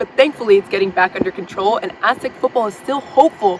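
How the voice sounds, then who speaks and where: Over noticeable background noise, a woman with an American accent speaks fairly quickly at a high pitch with ordinary pitch variation. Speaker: TV news reporter. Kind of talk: TV news reporter standup delivery. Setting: outdoors on location, news segment.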